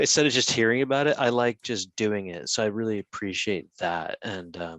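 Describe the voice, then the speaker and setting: Talking at a fairly quick pace, a man with an American accent has a normal speaking voice and fairly low pitch. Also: dry, close sound with no echo, quiet background. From United States. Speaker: conference panelist. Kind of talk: panel discussion.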